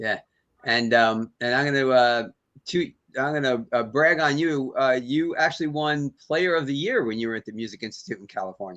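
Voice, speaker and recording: A man with a plain, everyday voice speaks at a medium pitch and moderate pace, using ordinary pitch variation while his loudness swings widely. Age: 60s. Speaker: podcast host. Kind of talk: interview.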